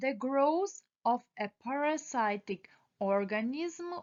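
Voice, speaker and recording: A woman talks very slowly, her pitch rising and falling over a very wide range. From Ukraine. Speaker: esthetician student. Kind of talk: exam study review read aloud.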